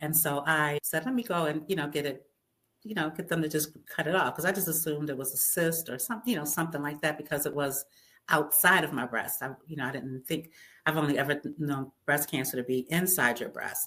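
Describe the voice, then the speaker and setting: A woman speaks at a fairly quick pace with a very deep, low pitch. Her tone is bright and sharp, with ordinary pitch variation. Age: 60s. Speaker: juice fasting advocate, cancer survivor. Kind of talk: interview. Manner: halting.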